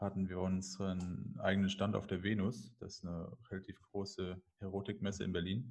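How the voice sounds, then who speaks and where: A man's fairly low voice at a moderate pace. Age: 30s. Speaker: adult film agency owner. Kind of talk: interview. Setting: internet call. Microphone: poor online audio quality.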